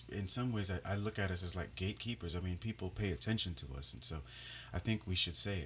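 Talking at a very fast pace, a man uses a very deep, low pitch with vocal fry, a bright, sharp tone and lively intonation. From Bahamas. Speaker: worship leader and pianist, podcast co-host. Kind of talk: casual chat.

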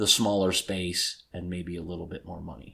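A man is speaking. He has an American accent. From Detroit, Michigan, US. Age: 50s. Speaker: podcast co-host. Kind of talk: casual chat. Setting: in person, same room.

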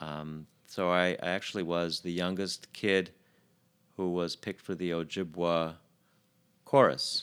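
Over a silent background in a very clean recording, a man with an American accent speaks at a fairly slow pace with long, frequent pauses, his very deep, low voice keeping a fairly even intonation. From Chicago, US. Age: 50s. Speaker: doctor. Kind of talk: casual chat. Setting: studio.

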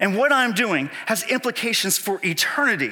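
A man in a raised, projected voice, high in pitch with lively intonation, at a moderate pace. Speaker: pastor. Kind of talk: sermon. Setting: church. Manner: animated.

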